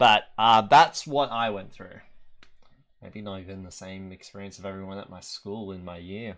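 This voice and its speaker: With an Australian accent and fairly low pitch, a man talks at a moderate pace with ordinary pitch variation and big swings in loudness on a very clean recording with a silent background. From Australia, New South Wales. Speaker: gaming video creator. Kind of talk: casual commentary. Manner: halting.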